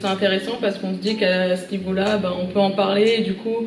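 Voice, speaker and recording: A woman's very fast, monotone, flat delivery, with noticeable background noise and audible room echo. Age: 20s. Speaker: civic service volunteer. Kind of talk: interview testimony. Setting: at a high school.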